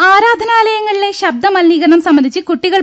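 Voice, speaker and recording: The background stays quiet. The speaker is a woman. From Kerala. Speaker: radio newsreader. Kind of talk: news reading. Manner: formal. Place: studio.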